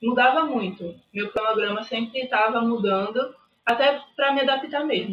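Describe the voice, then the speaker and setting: Using a plain, everyday voice, a woman speaks at a moderate pace, fairly high in pitch with ordinary pitch variation. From Recife, Pernambuco, Brazil. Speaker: university student sharing exam experience. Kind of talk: casual interview.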